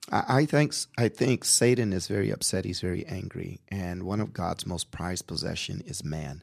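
The voice carries vocal fry and lively intonation, moving at a moderate pace with hardly any pauses. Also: man, very deep, low pitch for a man. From Portland, Oregon. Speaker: pastor. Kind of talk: radio interview. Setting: studio.

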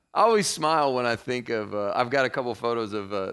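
A Kentucky accent with ordinary pitch variation, on a very clean recording with a silent background. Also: man. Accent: Kentucky Southern. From Kentucky (Murray). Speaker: pastor. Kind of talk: casual chat.

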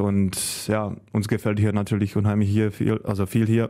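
The tone is dark and mellow, with monotone, flat intonation and a Czech accent. The pace is moderate on a very clean recording with a silent background. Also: man. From Czech Republic. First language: Czech (speaking German). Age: 30s. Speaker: handball goalkeeper. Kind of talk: casual interview.

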